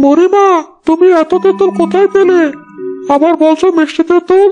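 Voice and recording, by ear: A cartoonish character voice pitched extremely high. It moves at a fairly slow pace.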